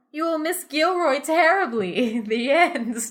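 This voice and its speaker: On a very clean recording with a silent background, a woman's voice makes very wide pitch swings. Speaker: podcast host. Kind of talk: interactive story reading.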